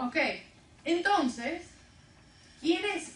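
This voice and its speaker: A woman speaks very slowly with very wide swings in pitch, and the room's echo is audible. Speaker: women's ministry teacher. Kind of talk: interactive bible class. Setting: church classroom with group. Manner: conversational, asks questions.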